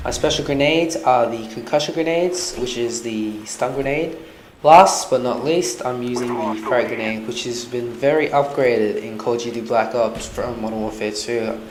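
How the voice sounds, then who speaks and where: Man's medium-pitched voice in a strong Australian accent, moderate pace, ordinary pitch variation, audible room echo and noticeable background noise. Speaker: gaming commentator. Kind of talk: gameplay commentary.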